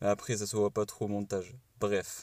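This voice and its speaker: In a southern French accent, a man speaks fairly slowly. His pitch is fairly low. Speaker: YouTuber. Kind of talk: reaction commentary.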